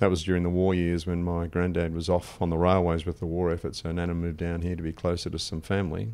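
Speaking at a very fast pace with hardly any pauses, a man with an Australian accent uses a very deep, low pitch, a dark, mellow tone and monotone, flat intonation. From Wimmera, Victoria, Australia. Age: 60s. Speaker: financial adviser. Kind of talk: podcast interview answer.

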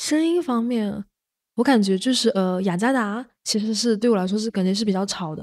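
In a quiet background, a woman's lively intonation carries her moderately paced speech. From Shaoxing, Zhejiang, China; Zhejiang, China. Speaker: community worker and podcast editor; podcast editor. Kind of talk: casual chat. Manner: halting.

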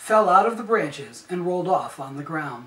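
The room echo is clearly audible. The speaker is a man. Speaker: storyteller. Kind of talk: reading a story aloud. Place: home room. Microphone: camera far.

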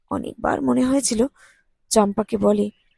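Quiet surroundings and a natural reading voice

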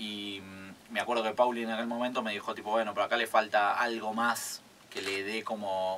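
Monotone, flat intonation from a man, with light background noise. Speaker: guest. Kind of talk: interview answer. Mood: relaxed, reflective, some laughter. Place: studio. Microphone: studio mic.

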